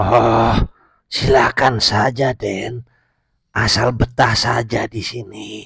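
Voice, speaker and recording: A put-on character voice, raspy and monotone, with flat intonation at a very slow pace. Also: man, medium pitch for a man. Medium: audio drama. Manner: curt.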